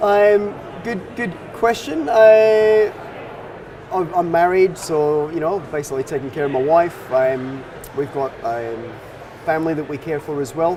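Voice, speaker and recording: With a slight Scottish accent, a man speaks fairly slowly at a fairly high pitch, with lively intonation and long, frequent pauses. Noticeable background noise and audible room echo are present. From Scotland, Dundee. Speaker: financial advisor. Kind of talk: interview.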